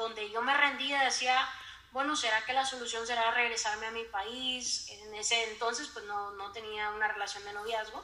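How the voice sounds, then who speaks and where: A woman at a moderate pace, with fairly even intonation and audible room echo. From Honduras. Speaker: psychologist. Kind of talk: casual interview.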